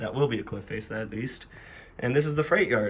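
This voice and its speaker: With ordinary pitch variation, the man's voice stays at a medium pitch. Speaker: model railroad hobbyist YouTuber. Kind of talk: casual layout tour.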